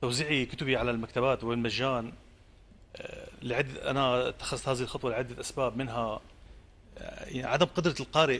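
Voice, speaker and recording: A man's intonation stays fairly even while he speaks at a moderate pace. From Syria, coastal village. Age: 40s. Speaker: poet. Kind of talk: interview. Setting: outdoor theatre, live broadcast. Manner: halting. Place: studio.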